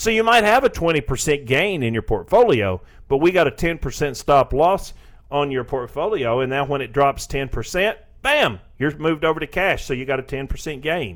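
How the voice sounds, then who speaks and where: Speaking at a moderate pace in a Southern US accent, a man with a fairly high voice lets his pitch swing very widely. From Tennessee, US South. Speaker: financial advisor. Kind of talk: radio talk interview about investing. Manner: conversational, explanatory.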